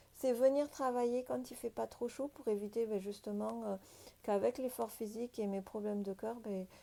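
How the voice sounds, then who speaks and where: A woman with a fairly high pitch speaks in a dark, mellow tone with ordinary pitch variation. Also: moderate pace. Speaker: sailing and boat-life vlogger. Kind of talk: casual vlog talk to camera. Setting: inside a boat, rain outside. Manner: hesitant, many fillers.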